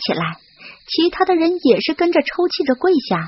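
This woman talks at a fairly quick pace with a slightly husky edge.

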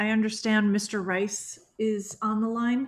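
The speaker is a woman whose pitch sits fairly high. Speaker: police commission president chairing forum. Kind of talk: public forum moderation. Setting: video call. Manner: formal. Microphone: video call.

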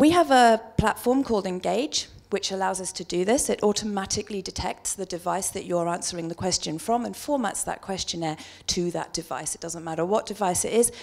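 A woman with a British accent speaks at a fairly quick pace. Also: quiet background. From UK. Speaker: market researcher; conference presenter. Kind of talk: conference presentation. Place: hall. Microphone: handheld.

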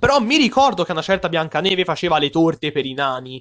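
A man at a high pitch and a fairly quick pace, over a quiet background. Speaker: YouTube film reviewer. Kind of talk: casual video review monologue. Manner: animated.

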